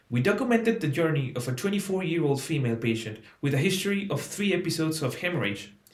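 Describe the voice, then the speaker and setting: The speaker rushes at a very fast pace with hardly any pauses and very wide pitch swings, against noticeable background noise. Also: man, fairly high pitch for a man. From Mexico, Oaxaca. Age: 20s. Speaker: medical student. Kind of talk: application presentation, partly scripted. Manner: formal.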